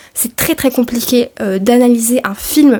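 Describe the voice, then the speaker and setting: A high-pitched woman's voice with fairly even intonation over noticeable background noise. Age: 20s. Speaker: film studies graduate. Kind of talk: casual talk to camera. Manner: relaxed, chatty.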